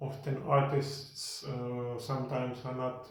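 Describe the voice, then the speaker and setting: In a Finnish accent, a man speaks at a very slow pace with flat, monotone intonation. Room echo is audible. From Finland (Lahti). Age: 40s. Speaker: podcast host. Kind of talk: casual monologue. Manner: pauses in speech; slow and clear.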